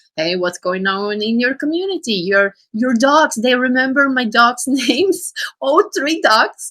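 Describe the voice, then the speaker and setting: A woman speaks with a non-native accent at a moderate pace. Her tone is bright and sharp, with lively intonation. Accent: foreign. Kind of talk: casual chat. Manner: halting.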